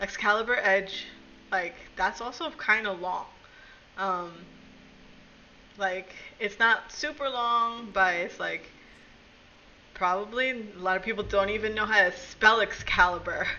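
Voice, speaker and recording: A woman with a Brooklyn accent speaks fairly slowly at a fairly high pitch, with ordinary pitch variation and long, frequent pauses. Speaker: streamer. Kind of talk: casual chat.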